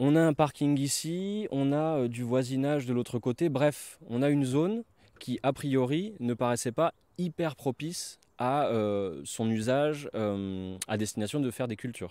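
Against a quiet background, a man speaks fairly slowly in a dark, mellow tone, with a dry sound and no echo. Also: lively intonation. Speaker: permaculture guide. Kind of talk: guided tour, casual talk. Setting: outdoors, filmed on site. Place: open country. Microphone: handheld.

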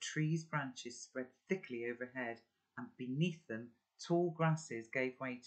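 Quiet background, natural reading voice, ordinary pitch variation

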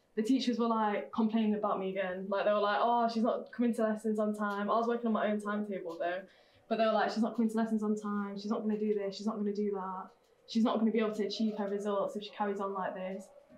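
Flat, monotone speech races at a very fast pace, with audible room echo and light background noise. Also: woman, fairly high pitch for a woman. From Cyprus, then Sheffield; Cyprus. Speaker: guest speaker; speaker. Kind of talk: personal story talk. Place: classroom.

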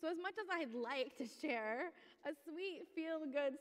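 Over a quiet background, a woman speaks in a high voice at a fairly slow pace. Her pitch variation is ordinary. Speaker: pastor. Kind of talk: sermon. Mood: earnest, passionate. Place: church. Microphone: headset.

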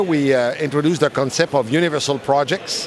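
Dry with no echo and some light background noise, a man speaks at a moderate pace with ordinary pitch variation. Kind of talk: interview answer. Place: hall. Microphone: handheld.

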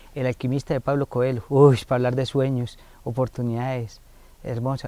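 A man's dark, mellow voice at medium pitch, fairly quick and monotone, flat in intonation, with a dry sound and no echo. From Colombia, Valle de San José (Santander); Santander, Colombia. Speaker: foundation director, family counselor. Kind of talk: interview on community TV. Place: garden.

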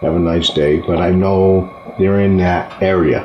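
Over light background noise and audible room echo, a man with a New England accent speaks very deep and low, at a fairly slow pace in a monotone, flat intonation. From northern New England. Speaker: local partridge hunter. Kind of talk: interview answer. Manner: casual, hesitant. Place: home room.

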